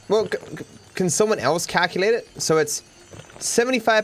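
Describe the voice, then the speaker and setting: A man with an Australian accent over noticeable background noise. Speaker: video game streamer. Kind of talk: casual livestream chat. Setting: livestream.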